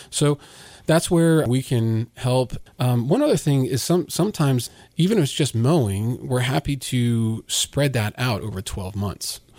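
Speaking with an American accent, this is an unremarkable speaking voice with lively intonation and a fairly slow pace. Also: man, medium pitch for a man. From Virginia, US. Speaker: lawn care business owner. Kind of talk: casual interview.

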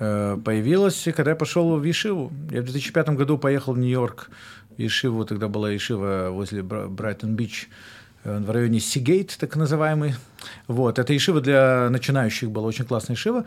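With lively intonation, a man talks at a moderate pace in a medium pitch. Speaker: rabbi and musician. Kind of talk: casual chat. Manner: halting.

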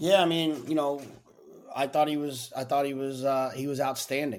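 He keeps up a fairly quick pace. The voice is a man's. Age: 40s. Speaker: horse racing handicapper, podcast co-host. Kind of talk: casual chat. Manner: halting, repeats words.

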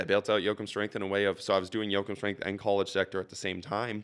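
A man's fairly low voice, bright and sharp in tone, at a very fast pace on a very clean recording with a silent background. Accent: American. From central Minnesota (St. Cloud area). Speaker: strength coach and gym owner. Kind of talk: casual interview.

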